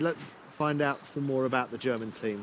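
Noticeable background noise runs under this recording. A man speaks at a moderate pace. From not Baltic. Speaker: sailing commentator. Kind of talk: live commentary.

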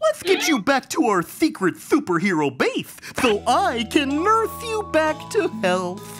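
A cartoonish character voice talks with a fairly high pitch and hardly any pauses. Clear music plays in the background. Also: fairly slow pace. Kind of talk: kids' cartoon comic acting. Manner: excited, earnest, jealous of the chicken.

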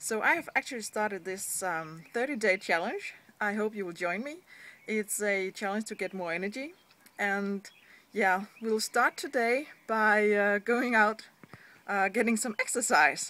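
A woman with a Danish accent talks at a fairly slow pace. Her pitch is fairly high and her tone bright and sharp. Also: ordinary pitch variation. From Denmark. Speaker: online business blogger. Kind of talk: vlog. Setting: seated indoors at home. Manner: hesitant, frequent fillers. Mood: earnest, encouraging. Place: street. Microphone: phone near.

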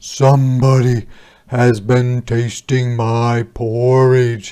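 A man puts on a character voice at a medium pitch. He speaks very slowly in a flat monotone. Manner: complaining.

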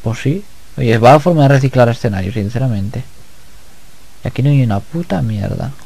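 The speaker talks at a fairly quick pace, with long, frequent pauses. Pitch varies in an ordinary way. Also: man, medium pitch for a man. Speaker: gaming YouTuber. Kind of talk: let's play commentary. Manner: relaxed.

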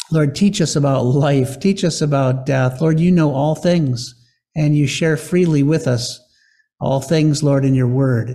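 A somewhat breathy man's voice with a dark, mellow tone, fairly even intonation and very even loudness, at a fairly slow pace over a quiet background. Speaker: pastor. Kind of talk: sermon. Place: church. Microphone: podium.

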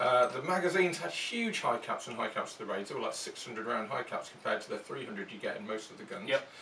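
Speaking at a fairly quick pace, a man is heard with audible room echo. Light background noise sits behind him. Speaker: show co-host. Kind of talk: casual talk-show explanation. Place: home room.

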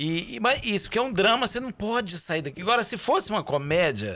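This man has a bright, sharp tone and talks at a fairly quick pace, his pitch swinging very widely. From Brazil, Belo Horizonte metro area; Brazil. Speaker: stage actor. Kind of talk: casual chat. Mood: cheerful, animated storytelling. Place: studio. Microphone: studio mic.

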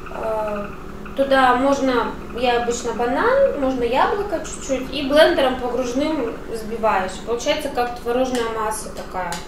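A high-pitched woman speaks with ordinary pitch variation. Noticeable background noise and audible room echo are present. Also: fairly slow pace. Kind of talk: casual vlog chat. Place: kitchen. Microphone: camera far.

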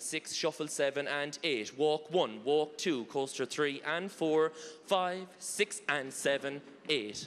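With an Irish accent, the speaker talks at a very slow pace with ordinary pitch variation. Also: man. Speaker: line dance instructor. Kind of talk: dance class instruction with counts. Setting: stage with audience. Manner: animated. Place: hall. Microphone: handheld.

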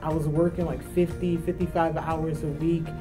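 Clear background music behind a female speaker. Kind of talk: interview answer. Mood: enthusiastic, warm. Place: studio. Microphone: lapel.

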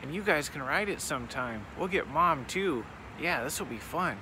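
A man is heard in a dry sound with no echo, over noticeable background noise. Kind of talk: casual vlog chat. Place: station. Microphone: phone near.

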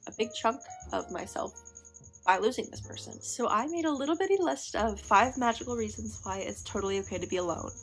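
Faint music plays in the background. A woman speaks at a fairly quick pace with an American accent. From Missouri. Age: young. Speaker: vlogger. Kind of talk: casual talk to camera. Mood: reflective, soft, personal. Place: home room. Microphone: phone near.

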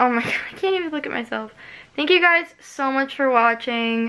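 The pace sits at a moderate level. Pitch shifts an ordinary amount. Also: woman. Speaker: vlogger. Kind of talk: casual vlog chat. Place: home room. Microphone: phone near.

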